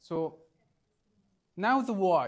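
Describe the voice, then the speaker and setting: A man speaks with an Arabic accent and lively intonation. The recording is very clean, with a silent background. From Egypt. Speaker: trainer. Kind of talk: training workshop presentation. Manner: halting.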